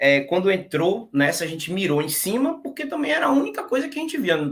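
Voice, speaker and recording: At a fairly quick pace, a man talks at a high pitch with very wide pitch swings. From Brazil, interior of Bahia. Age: 30s. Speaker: exam-passer interviewee, tax auditor. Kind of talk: casual interview. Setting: live stream.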